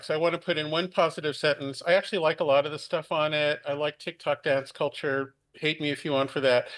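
This man has an ordinary speaking voice, pitched fairly high. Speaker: technologist. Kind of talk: panel discussion.

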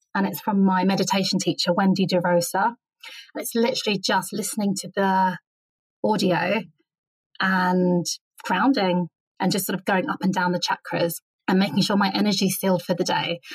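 Pausing long and often, a woman speaks at a moderate pace and a medium pitch, somewhat breathy, with fairly even intonation. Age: 40s. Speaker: writer and writing teacher. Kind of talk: interview conversation.

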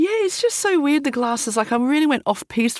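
Very wide pitch swings mark this woman's speech. She talks in an Australian accent. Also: very clean recording, silent background. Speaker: entrepreneur, bag designer. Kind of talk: casual interview chat. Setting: studio.

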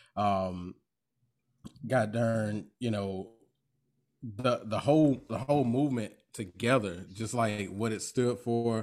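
Long, frequent pauses break up this man's very slow speech. He has a north Florida accent and fairly even intonation. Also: medium pitch for a man. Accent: US Southern (north Florida). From Florida, Duval County (Jacksonville). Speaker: podcast host, guest. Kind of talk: casual chat.

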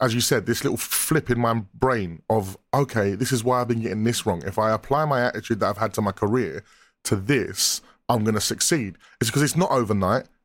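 This man has an unremarkable speaking voice at a medium pitch, with ordinary pitch variation and a fairly quick pace. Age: 30s. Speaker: musician. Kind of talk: casual chat.

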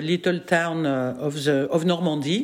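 A woman is speaking. She has a French accent. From France. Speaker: psychoanalyst and filmmaker. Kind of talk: interview conversation. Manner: laughs often, animated.

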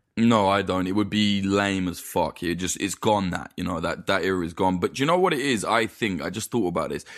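Against a quiet background, a man with an East Midlands accent talks at a fairly quick pace and fairly low pitch with ordinary pitch variation. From East Midlands, England. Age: 20s. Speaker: documentary filmmaker. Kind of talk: casual chat.

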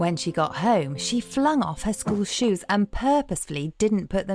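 The speaker uses an unforced reading voice whose intonation rises and falls in a lively way.

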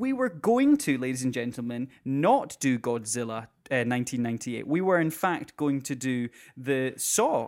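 A lively voice in a Scottish accent on a very clean recording with a silent background. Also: man. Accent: Scottish (Edinburgh area). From Scotland, near Edinburgh. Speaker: podcast co-host. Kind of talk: casual chat.

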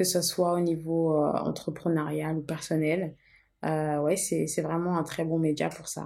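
A woman speaks in a fairly low pitch with monotone, flat intonation. The recording is very clean, with a silent background. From Portugal (Lisbon), moved to France at 13. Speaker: entrepreneur, tea brand co-founder. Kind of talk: casual conversation, personal story.

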